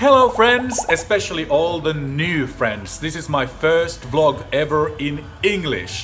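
Over faint music in the background, a man with a fairly high pitch speaks at a fairly slow pace with hardly any pauses and very wide pitch swings. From Finland. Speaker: TV commentator. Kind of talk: casual talk to camera. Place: home room. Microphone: phone near.

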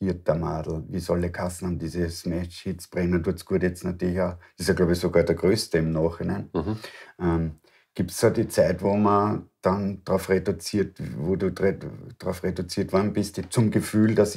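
A man with an Austrian accent speaks at a very deep, low pitch with a dark, mellow tone. His pace is moderate, his intonation fairly even, and the background quiet. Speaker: interview host. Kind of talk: interview. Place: home room.

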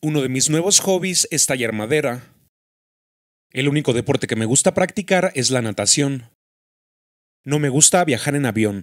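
With a Mexican accent, the speaker uses lively intonation and leaves long, frequent pauses. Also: man, fairly high pitch for a man, moderate pace. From Mexico, Michoacán. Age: 20s. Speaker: YouTuber. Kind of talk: casual vlog monologue.

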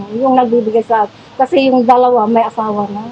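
The speech moves at a fairly quick pace. There is noticeable background noise. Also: woman. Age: 60s. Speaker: flood-affected resident. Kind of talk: interview. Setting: flooded house.

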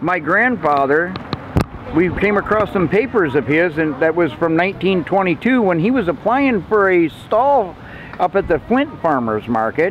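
A man with a high pitch and a moderate pace, over light background noise, in a dry sound with no echo. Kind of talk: interview answer, storytelling. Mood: warm, nostalgic. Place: market.

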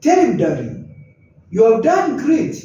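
There is audible room echo as a man talks with very wide pitch swings. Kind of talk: advice talk to camera. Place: office. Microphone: camera far.

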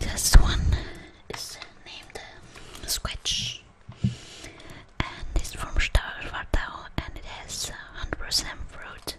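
A woman whispers at a very slow pace with long, frequent pauses. Her loudness swings widely. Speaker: ASMR creator. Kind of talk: ASMR show and tell. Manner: softly whispered. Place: kitchen. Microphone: webcam.

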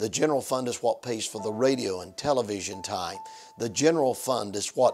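Faint music plays in the background as a man speaks with ordinary pitch variation. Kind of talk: fundraising appeal to viewers. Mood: warm, earnest. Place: studio. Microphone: lapel.

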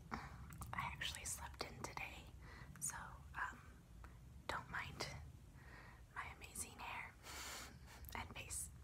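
At a very slow pace, a woman talks. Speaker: ASMR creator. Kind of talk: ASMR tapping and tracing video, casual talk to camera. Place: home room. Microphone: phone near.

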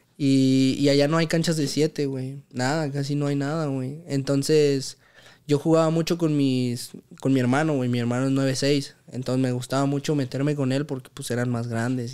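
Against a quiet background, a man with a fairly high pitch talks at a moderate pace in a flat, monotone delivery. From Mexico City, Santa Fe; Mexico City. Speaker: professional footballer; podcast guest. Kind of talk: casual chat. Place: home room. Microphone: studio mic.

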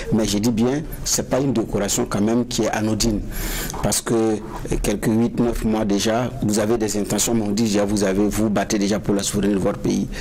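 A man with monotone, flat intonation over light background noise. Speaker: panel journalist. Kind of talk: interview. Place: studio.

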